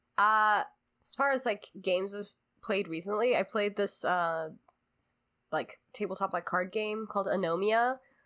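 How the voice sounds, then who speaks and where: Long, frequent pauses in a bright, sharp tone against a quiet background. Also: woman, medium pitch for a woman, ordinary pitch variation. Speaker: podcast co-host. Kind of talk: casual chat. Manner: slow.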